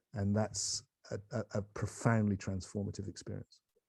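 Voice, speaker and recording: A man's dark, mellow voice comes through dry and close, with no echo. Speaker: spiritual teacher. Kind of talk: casual chat. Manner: fast; animated.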